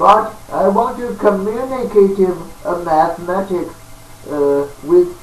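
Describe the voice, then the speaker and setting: A man speaks at a very slow pace with ordinary pitch variation. Room echo is audible, and background noise is noticeable. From China. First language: Chinese. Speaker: self-taught mathematician, video lecturer. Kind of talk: lecture. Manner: halting, many fillers.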